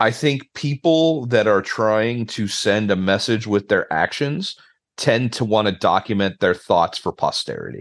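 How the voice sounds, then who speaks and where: Against a quiet background, a man talks fairly slowly at a medium pitch. He has a plain, everyday voice with lively intonation. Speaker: podcast host. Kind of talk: casual chat about a movie. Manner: casual, conversational.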